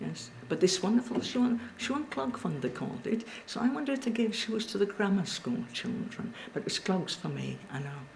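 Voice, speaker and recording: Over noticeable background noise, the speaker uses a Cumbrian accent at a moderate pace, with very wide pitch swings. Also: woman, medium pitch for a woman. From Cumbria, northern England. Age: 80s+. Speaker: local elder recalling childhood. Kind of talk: oral history interview.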